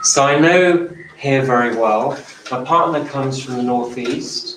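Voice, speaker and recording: There is noticeable background noise. A man speaks at a medium pitch. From southern England. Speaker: nurse, healthcare speaker. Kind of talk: talk to live audience.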